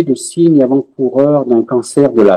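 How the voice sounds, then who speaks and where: In a dry, close sound with no echo, a man with a dark, mellow tone speaks at medium pitch and a fairly slow pace. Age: 60s. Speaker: patient, retired research engineer. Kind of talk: testimony. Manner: halting, many hesitations.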